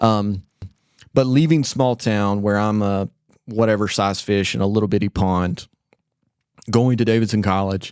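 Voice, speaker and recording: A man speaks slowly, at a fairly low pitch, with an Appalachian accent. His intonation stays fairly even. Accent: Southern US (Appalachian North Carolina). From US South (western North Carolina, Spindale). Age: 20s. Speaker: church member sharing his faith story. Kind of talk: testimony.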